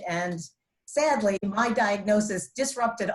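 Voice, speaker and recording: A woman speaks at a medium pitch with ordinary pitch variation. Her voice is somewhat breathy. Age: 60s. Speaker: cancer survivor. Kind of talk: testimony.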